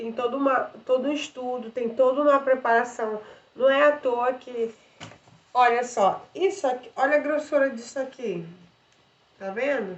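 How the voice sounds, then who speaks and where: A woman speaks at a high pitch with ordinary pitch variation. She leaves long, frequent pauses. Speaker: vlogger and theatre student. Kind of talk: casual vlog explaining theatre and voice care. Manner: casual, with filler words.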